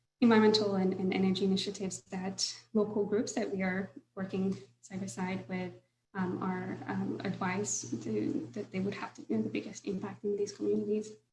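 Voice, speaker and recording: She talks at a fairly quick pace with vocal fry. The woman's pitch is medium and varies in an ordinary way. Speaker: solar finance professional. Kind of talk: webinar presentation.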